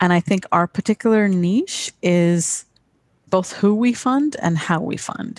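In a normal speaking voice, a woman speaks at a fairly slow pace and medium pitch with ordinary pitch variation, against a quiet background and a dry, close sound with no echo. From England, then Canada. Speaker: nonprofit executive director. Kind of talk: interview.

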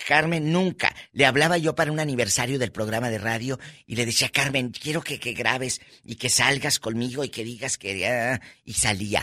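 A man speaks at a moderate pace in a medium-pitched, bright, sharp voice with ordinary pitch variation. His tone is animated, and the recording is very clean with a silent background. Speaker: entertainment news co-host. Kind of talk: casual chat. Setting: studio.

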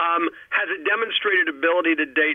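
This is a normal speaking voice with an American accent. It moves at a moderate pace with ordinary pitch variation. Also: man. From New York City. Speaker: political commentator. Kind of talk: political analysis discussion. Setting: phone call.

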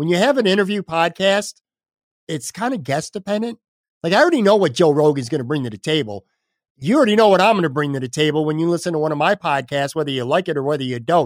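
A very clean recording with a silent background: a man with an American accent, fairly high-pitched, very fast and lively in intonation, in a dry, close sound with no echo. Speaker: podcast host. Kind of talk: casual chat. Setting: home podcast studio.

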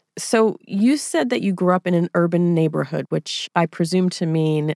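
In an American accent, an unremarkable speaking voice moves at a moderate pace with ordinary pitch variation, recorded very cleanly over a silent background with a dry, close sound and no echo. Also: woman. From US, New Hampshire. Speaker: podcast host. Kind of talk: interview conversation; scripted narration.

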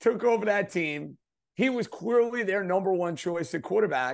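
Lively intonation from a high-pitched man at a moderate pace, against a quiet background. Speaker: sports radio host. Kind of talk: casual chat.

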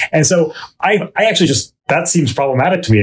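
A man with a Canadian accent, a normal speaking voice, lively intonation, and a fairly quick pace. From Vancouver, Canada. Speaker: theoretical physicist, professor. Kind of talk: interview conversation. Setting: studio.

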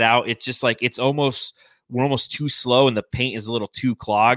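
Very fast and bright with a sharp tone, a man talks at a medium pitch in a very clean recording with a silent background and a dry, close sound with no echo. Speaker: sports podcast host. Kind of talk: casual chat. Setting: live stream. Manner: stutters often; animated.

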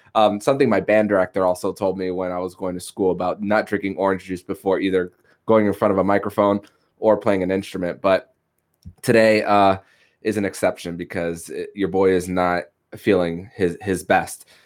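A man at a fairly quick pace, fairly low in pitch, with monotone, flat intonation. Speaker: sports podcast host. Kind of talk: casual sports commentary. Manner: halting, many fillers.

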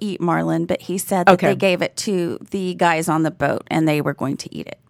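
A woman with a slight Texas accent speaks at a moderate pace in a medium pitch, her vocal fry caught in a dry, close recording with no echo. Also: hardly any pauses, big swings in loudness. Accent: light Texas. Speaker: podcast co-host. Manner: doesn't enunciate clearly, mispronounces words.

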